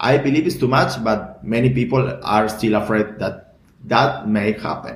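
A man with a Spanish accent talks at a moderate pace and fairly low pitch. His intonation is lively, and vocal fry comes through. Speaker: bitcoin community founder. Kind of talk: interview. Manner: halting.

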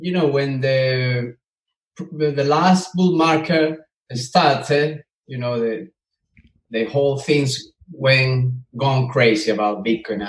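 A man with a Spanish accent speaks at a very slow pace. His voice is medium in pitch, somewhat breathy, with ordinary pitch variation. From Venezuela. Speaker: mechanical engineer and bitcoin miner. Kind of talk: interview. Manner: halting.

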